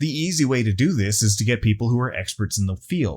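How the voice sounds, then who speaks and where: With an American accent, a man talks at a fairly quick pace in a somewhat breathy voice with lively intonation, on a very clean recording with a silent background. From Texas, US. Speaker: YouTuber, tabletop gaming commentator. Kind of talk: video essay commentary.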